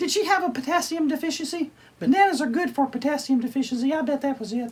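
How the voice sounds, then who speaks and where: In a cartoonish character voice, a man talks at a very fast pace with an extremely high pitch. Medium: puppet. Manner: excitable, silly, comedic.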